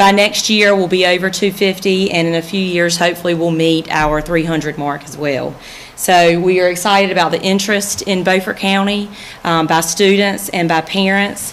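There is light background noise. A woman talks at a moderate pace with fairly even intonation. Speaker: high school principal. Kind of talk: progress report presentation. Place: hall. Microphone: podium.

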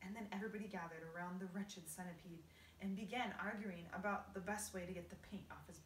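With intonation that stays fairly even, the clip carries a natural reading voice.

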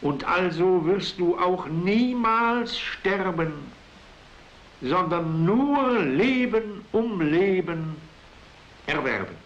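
A man's very slow, high-pitched speech with lively intonation, very even loudness, and long, frequent pauses. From Silesia. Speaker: writer. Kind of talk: poetry reading. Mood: solemn, earnest. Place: home room. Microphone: old recording.

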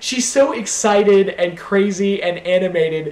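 A man with an American accent speaks at a high pitch. Audible room echo surrounds his voice. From Washington D.C., US. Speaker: YouTuber. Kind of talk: Q&A video monologue, casual. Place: home room. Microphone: webcam.

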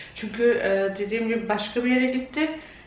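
A woman speaks at a moderate pace with monotone, flat intonation, and the room echo is audible. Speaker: home vlogger. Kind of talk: casual vlog chat. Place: kitchen. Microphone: phone near.

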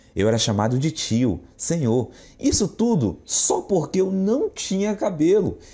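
Speaking fairly slowly, a man uses very wide pitch swings. His tone is dark and mellow. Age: 40s. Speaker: salesman. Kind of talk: sales pitch.

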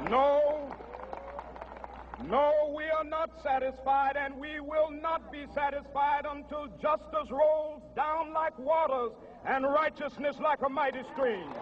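Over noticeable background noise, a man with an American accent speaks very slowly in a monotone, flat delivery at an extremely high pitch. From United States. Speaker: minister and civil rights leader. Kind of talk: public speech to a mass rally. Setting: outdoors, PA system. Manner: oratorical, rhythmic, impassioned. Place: stage. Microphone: podium.

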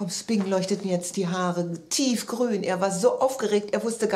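The voice reads aloud in a natural voice. Its pitch moves in an ordinary way.

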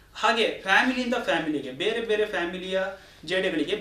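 Noticeable background noise and audible room echo surround a man speaking at a high pitch with ordinary pitch variation. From Uttara Kannada, Karnataka, India. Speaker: forest officer. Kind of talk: radio interview.

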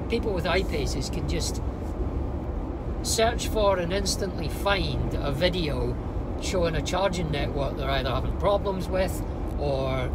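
Through loud background noise, a man talks at a fairly slow pace with long, frequent pauses. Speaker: car vlogger. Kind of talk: casual vlog chat. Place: car. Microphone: lapel.

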